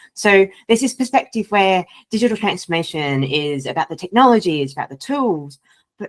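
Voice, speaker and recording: A woman with a slight Australian accent makes very wide pitch swings in a dry, close sound with no echo. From Australia, Sydney. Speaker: data and AI culture consultant. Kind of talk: podcast interview.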